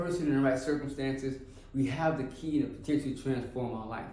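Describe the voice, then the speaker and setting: A man's moderately paced speech carries audible echo from the room. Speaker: formerly incarcerated reentry case manager. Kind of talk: personal testimony.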